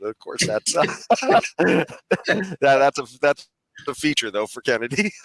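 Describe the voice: Putting on a hoarse character voice, a man speaks at a fairly slow pace with fairly high pitch and lively intonation.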